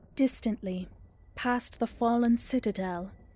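With music in the background, a woman speaks at a fairly slow pace and fairly high pitch, her intonation fairly even. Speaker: narrator reading a story section. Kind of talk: scripted narration, read-aloud story.

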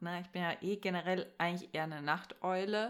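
A woman with an unremarkable speaking voice talks at a fairly low pitch. Her pace is fairly quick and her intonation fairly even. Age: young. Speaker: podcast co-host. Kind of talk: casual chat. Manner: laughing often.

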